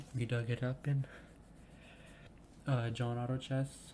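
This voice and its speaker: At a moderate pace, a man speaks in a dark, mellow tone at medium pitch, somewhat breathy and monotone with flat intonation. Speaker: gaming video creator. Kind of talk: gameplay commentary. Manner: stumbles over words; casual, hesitant with fillers.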